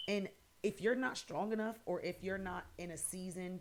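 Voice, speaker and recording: Speaking at a moderate pace and medium pitch, a woman with an American accent has a plain, everyday voice. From New Jersey, Paterson. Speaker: podcast host. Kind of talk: personal testimony podcast monologue. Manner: casual, conversational.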